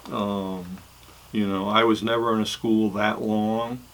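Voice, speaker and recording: With an American accent, a man speaks slowly in a fairly low pitch, his intonation monotone and flat. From New England, US. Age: 70s. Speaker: recovery channel host, pastor's kid. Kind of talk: personal testimony monologue. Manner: halting, many fillers.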